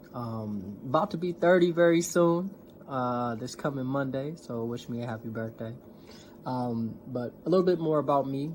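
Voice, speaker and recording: A man's plain, everyday voice with an American accent, medium in pitch, with lively intonation at a moderate pace. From US Midwest, North Minneapolis. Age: 20s. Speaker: seminary graduate, community organizer. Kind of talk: talk in an online community event. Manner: casual, with many fillers.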